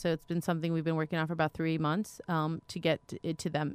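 At a very fast pace, a woman with a fairly low pitch speaks in a monotone, flat way, the sound dry and close with no echo. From Romania. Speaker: refugee rights activist. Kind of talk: radio interview. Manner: halting, many fillers.

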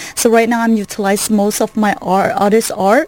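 A woman speaks at a fairly high pitch. Noticeable background noise is present. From Malaysia, Kuala Lumpur. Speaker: artist and art business owner. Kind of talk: radio interview. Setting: studio.

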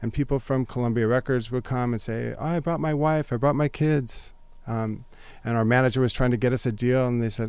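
At a fairly quick pace, a man in an ordinary speaking voice talks at medium pitch with ordinary pitch variation, in a very clean recording with a silent background. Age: 50s. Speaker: music teacher. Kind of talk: casual chat.

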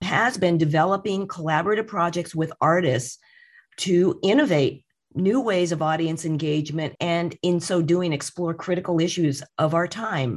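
In a very clean recording with a silent background, a woman speaks with a Californian accent. Her pitch is fairly low, with ordinary variation, and her pace is moderate. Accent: Californian American English. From Southern California (Redlands). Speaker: museum director. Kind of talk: interview.

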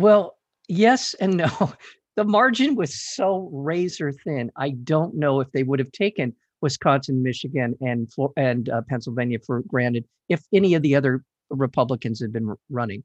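Fairly high in pitch, a man talks at a moderate pace with lively intonation in an unremarkable speaking voice, recorded with a dry, close sound and no echo. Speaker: radio host. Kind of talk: interview. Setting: studio.

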